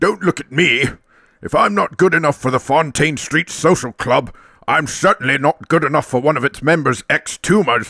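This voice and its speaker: At a moderate pace, a man delivers a cartoonish character voice with a fairly high pitch. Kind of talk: posh upper-class. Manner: pompous, genteel.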